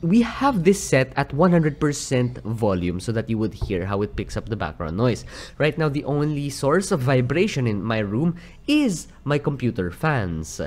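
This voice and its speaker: With very wide swings in pitch, a man talks at a moderate pace. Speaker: product reviewer. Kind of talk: product review commentary. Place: home room. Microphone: studio mic.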